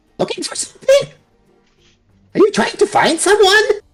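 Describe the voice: A put-on character voice, squeaky and at an extremely high pitch, talks at a moderate pace. Faint music plays in the background.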